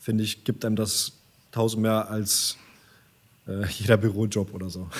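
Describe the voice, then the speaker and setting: This man talks at a moderate pace with a fairly low pitch and a monotone, flat intonation. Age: 20s. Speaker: videographer, company co-founder. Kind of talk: casual interview chat. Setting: remote recording.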